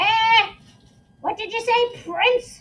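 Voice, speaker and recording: A woman uses a put-on character voice pitched extremely high. It comes out croaky and squeaky. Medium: read story. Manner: sly.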